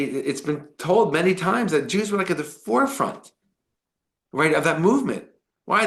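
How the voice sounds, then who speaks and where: With an audible room echo, a man with a high pitch and lively intonation speaks in a New York accent. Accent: New York American. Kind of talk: lecture. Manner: fast; animated.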